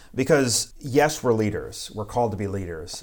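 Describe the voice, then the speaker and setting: An ordinary speaking voice from a man with an American accent, with ordinary pitch variation and a moderate pace. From US South, South Carolina. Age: 30s. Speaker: pastor. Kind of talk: casual interview.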